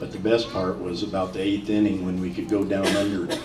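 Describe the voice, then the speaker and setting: Over music in the background and with audible room echo, a man with a Midwestern American accent speaks at a fairly quick pace, his fairly low pitch held in fairly even intonation. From US Midwest, Decatur, Illinois. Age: 70s. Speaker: former pro baseball player. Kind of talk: interview before live audience.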